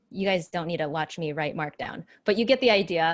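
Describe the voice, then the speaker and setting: The recording is very clean with a silent background. On it, a woman with a plain, everyday voice talks at a fairly quick pace. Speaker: developer relations speaker. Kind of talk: technical presentation with live demo.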